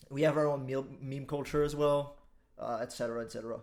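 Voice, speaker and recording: A man with a Quebec accent and fairly even intonation. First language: French. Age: 20s. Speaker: online commentator. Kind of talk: casual monologue.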